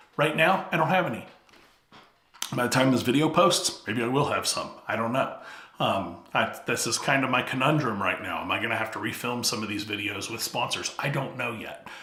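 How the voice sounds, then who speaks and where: A man speaks at a fairly quick pace with lively intonation. Noticeable background noise and audible room echo are present. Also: medium pitch for a man. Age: 50s. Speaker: YouTube coach. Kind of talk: talking-head tutorial.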